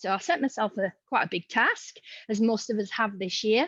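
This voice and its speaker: A woman with a Yorkshire accent speaks at a moderate pace, her pitch fairly high and its variation ordinary. The sound is dry and close, with no echo. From Yorkshire, northern England. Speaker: museum educator. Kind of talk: online forum presentation. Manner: casual, chatty.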